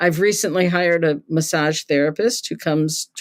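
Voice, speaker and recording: A woman's voice sits very deep and low, moving at a moderate pace with ordinary pitch variation. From Serbia, then Canada. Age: 70s. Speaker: cult expert, retired sociology professor. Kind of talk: interview conversation.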